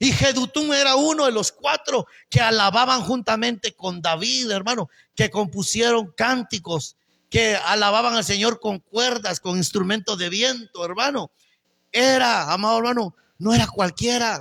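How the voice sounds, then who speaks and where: A man's raised, projected voice has a bright, sharp, animated tone at high pitch, moving at a fairly slow pace with ordinary pitch variation. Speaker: pastor. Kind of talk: sermon.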